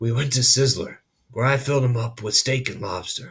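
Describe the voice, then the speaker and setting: A man puts on a raspy character voice, quiet and at a medium pitch. His intonation stays fairly even at a moderate pace. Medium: read story. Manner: quiet, halting.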